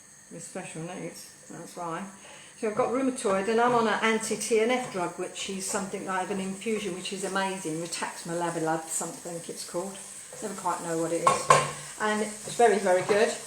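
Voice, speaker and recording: In an Essex accent, someone talks at a fairly quick pace with big swings in loudness, over noticeable background noise and audible room echo. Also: woman, medium pitch for a woman. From Essex, England. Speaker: cooking show host, former comedy performer. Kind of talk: live cooking stream chat. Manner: animated.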